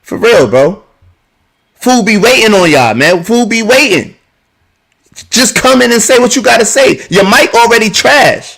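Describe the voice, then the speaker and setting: A loud man with an American accent speaks at an extremely high pitch, his intonation lively, with long, frequent pauses. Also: moderate pace. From New Jersey, Plainfield. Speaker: live stream podcast host. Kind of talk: heated debate.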